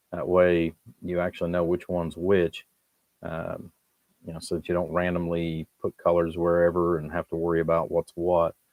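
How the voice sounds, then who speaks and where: A man talks at a moderate pace in a very deep, low voice. His intonation is monotone and flat, and the sound is dry and close with no echo. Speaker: electronics hobbyist streamer. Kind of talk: live stream workshop tutorial. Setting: home workshop at the workbench. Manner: halting, pauses mid-thought.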